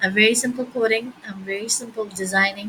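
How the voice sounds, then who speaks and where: Soft-spoken, a woman talks at a moderate pace with fairly even intonation. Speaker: coding tutorial youtuber. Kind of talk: tutorial.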